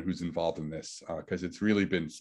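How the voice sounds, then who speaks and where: A man speaks with a New York accent. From New York City. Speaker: physicist. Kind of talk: lecture.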